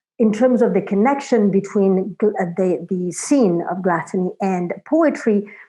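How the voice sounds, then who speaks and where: The speaker has a Florentine accent and a dark, mellow tone, talking at a fairly slow pace. Behind the voice, the background is quiet. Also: woman. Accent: Florentine Italian. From Italy, Florence. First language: Italian. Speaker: literature scholar. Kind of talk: academic conversation. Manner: hesitant, many fillers.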